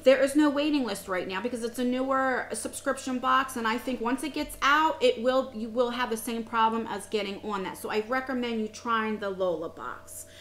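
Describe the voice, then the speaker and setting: Over noticeable background noise, a woman with an American accent speaks at a high pitch with ordinary pitch variation. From USA. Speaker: beauty vlogger. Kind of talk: casual review vlog. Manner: fast.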